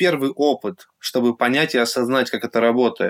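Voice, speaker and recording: In a plain, everyday voice, a man talks at a fairly quick pace with medium pitch and ordinary pitch variation, the sound dry and close with no echo. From Russia, Yekaterinburg. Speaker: artist and blogger. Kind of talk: casual interview.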